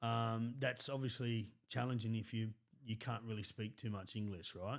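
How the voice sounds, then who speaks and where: A man speaks in a medium pitch at a moderate pace with monotone, flat intonation. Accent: Australian. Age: 30s. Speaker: podcast host. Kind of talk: interview.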